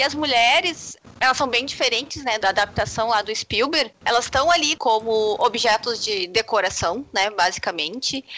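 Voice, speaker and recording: Lively intonation marks this woman's an unremarkable speaking voice, fairly high in pitch, at a moderate pace with hardly any pauses. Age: 30s. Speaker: games and literature scholar. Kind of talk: casual panel discussion.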